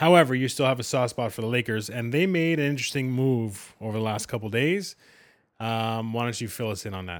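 A man with a Canadian accent and an ordinary speaking voice talks at a fairly quick pace, with medium pitch and ordinary pitch variation, in a very clean recording with a silent background. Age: 40s. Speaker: sports podcast co-host. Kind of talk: casual chat.

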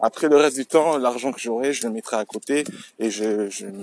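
A man at medium pitch talks with lively intonation, in a dry, close sound with no echo, over noticeable background noise. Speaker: solo podcaster. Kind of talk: casual monologue. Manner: halting.

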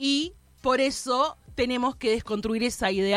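Music plays in the background. The speaker talks at a very slow pace. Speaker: radio host. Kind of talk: casual chat. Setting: studio.

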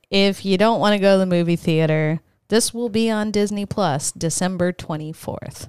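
A woman's medium-pitched, animated, playful voice with ordinary pitch variation, dry and close with no echo, on a very clean recording with a silent background. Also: moderate pace. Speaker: podcast co-host. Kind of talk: casual banter, podcast chat.

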